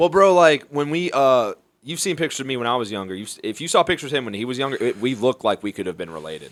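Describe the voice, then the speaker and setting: Very fast speech from a man with a Southern US accent, medium pitch and very wide pitch swings, on a very clean recording over a silent background. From Mobile, Alabama. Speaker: stand-up comedian. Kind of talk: podcast interview answer. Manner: casual, profane.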